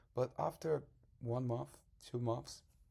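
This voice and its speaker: Speaking with a Portuguese accent, a man has a dark, mellow tone, a somewhat breathy quality and fairly even intonation. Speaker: salesman and language learner. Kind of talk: tutorial. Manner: halting.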